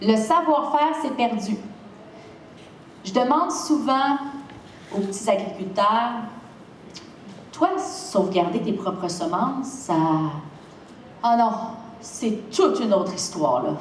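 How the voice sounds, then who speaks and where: A woman with a Quebec accent, fairly high in pitch, with very wide pitch swings, a very slow pace and long, frequent pauses, amid noticeable background noise and audible room echo. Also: big swings in loudness. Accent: Québécois French. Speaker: seed company founder. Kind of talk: lecture. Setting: stage with audience. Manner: animated.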